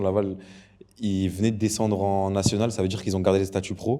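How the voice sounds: This man has a low pitch and a dark, mellow tone. He talks at a fairly quick pace with little pitch movement.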